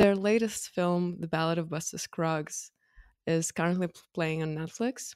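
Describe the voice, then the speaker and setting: In a Russian accent, a woman speaks at a moderate pace with fairly low pitch and fairly even intonation, the sound dry and close with no echo. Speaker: filmmaker and podcast co-host. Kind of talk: casual chat.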